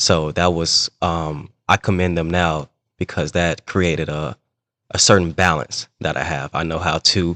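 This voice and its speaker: Speaking with an American accent and fairly even intonation, a man with a very deep, low pitch is heard in a dry, close sound with no echo against a quiet background. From US Midwest, East St. Louis, Illinois. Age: 30s. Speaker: sports referee. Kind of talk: casual interview.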